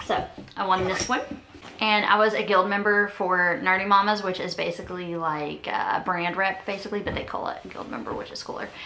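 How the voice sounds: With a bright, sharp tone and medium pitch, a woman speaks at a fairly quick pace, her intonation fairly even and the room echo audible.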